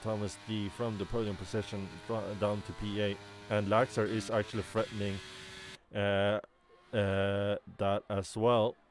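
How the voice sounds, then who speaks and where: A man talks at a fairly slow pace with a non-native accent. His voice sits fairly low. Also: long, frequent pauses. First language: not English. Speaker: sim racing commentator. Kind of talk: live commentary. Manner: animated.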